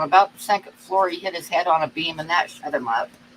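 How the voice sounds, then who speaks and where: A woman has an unremarkable speaking voice with lively intonation. She speaks at a fairly quick pace. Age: 60s. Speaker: livestream co-host. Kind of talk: casual chat. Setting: live stream.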